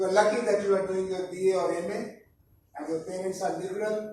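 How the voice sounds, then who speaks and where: Audible room echo surrounds the recording. A man with a high pitch speaks at a moderate pace. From India. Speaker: professor. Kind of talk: lecture. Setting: college talk to students.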